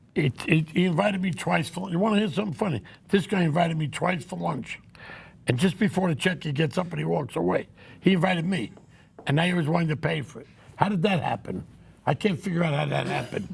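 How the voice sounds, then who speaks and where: Speaking very fast, a man puts on a character voice. It sits high in pitch and sounds raspy. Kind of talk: old-school New York banter. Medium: game stream. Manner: rambling, digressive, blunt.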